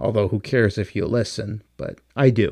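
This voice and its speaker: Moderately paced, a man speaks at a fairly low pitch. The sound is dry and close, with no echo. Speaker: podcast host. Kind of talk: casual solo monologue. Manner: loud.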